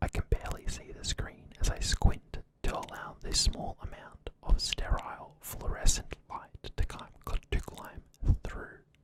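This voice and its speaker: Whispering with an Australian accent, a man speaks. His pace is fairly slow. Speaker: ASMR creator. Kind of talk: ASMR story reading. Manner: soft-spoken.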